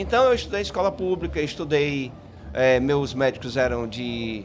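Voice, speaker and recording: A man with a medium-pitched voice speaks at a fairly slow pace with lively intonation. Audible room echo and noticeable background noise fill the recording. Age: 60s. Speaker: psychologist. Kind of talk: podcast interview. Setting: live event stage at a festival.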